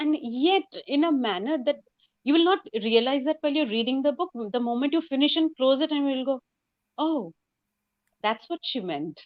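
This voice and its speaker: In a Bengali accent, a woman with a high pitch and lively intonation speaks with long, frequent pauses. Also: moderate pace. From India, West Bengal. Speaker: novelist. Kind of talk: interview.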